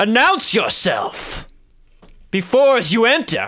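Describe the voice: This man uses a put-on character voice. His pitch is extremely high. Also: fairly slow pace.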